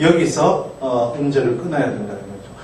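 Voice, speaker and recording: A man's voice carries audible room echo, with noticeable background noise around it. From outside Gyeongsangnam-do, Korea. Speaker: Hebrew grammar lecturer. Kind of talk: lecture.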